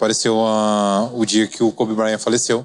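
This man talks at a fairly slow pace and a medium pitch. His intonation is monotone and flat. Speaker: podcast host. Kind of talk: casual interview. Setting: studio.

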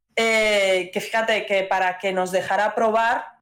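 Fairly slow pace and monotone, flat intonation. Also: woman. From Madrid, Spain. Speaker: indie game studio CEO. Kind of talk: interview.

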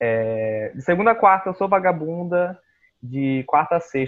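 A man talks at a moderate pace with ordinary pitch variation. His is a plain, everyday voice. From Brazil, Boa Vista, Roraima. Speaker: podcast co-host, illustrator. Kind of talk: casual chat.

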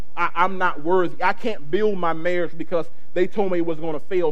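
Over noticeable background noise, a man speaks very fast in an animated tone, with ordinary pitch variation. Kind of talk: sermon. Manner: animated, call-and-response preaching, urging the congregation to shout amen; fervent and emphatic, repeating phrases for emphasis.

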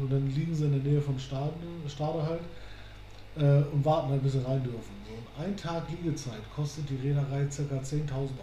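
Talking at a fairly quick pace in a monotone, flat way, a man with a fairly high pitch is heard over noticeable background noise with audible room echo. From northern Germany, near Hamburg. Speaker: podcast co-host. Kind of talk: casual chat.

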